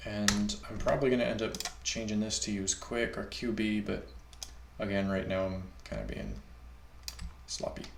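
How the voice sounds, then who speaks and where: A man speaks at a moderate pace with long, frequent pauses, with audible room echo and noticeable background noise. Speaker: software developer live-streaming coding. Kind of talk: live-coding stream. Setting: live stream. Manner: casual, with many fillers and hesitations.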